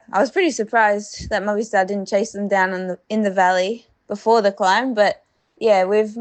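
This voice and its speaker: Mumbling in a fairly high pitch, a woman with an Australian accent speaks with fairly even intonation. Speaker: professional cyclist. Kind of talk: audio diary.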